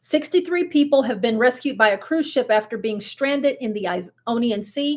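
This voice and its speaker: A woman's high voice, animated in tone with lively intonation, at a fairly slow pace on a very clean recording with a silent background. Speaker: cruise vlogger. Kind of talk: live stream news chat.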